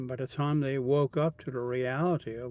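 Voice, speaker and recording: A man's fairly high-pitched voice with a dark, mellow tone. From Netherlands. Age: 70s. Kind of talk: interview answer. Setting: public place recording booth.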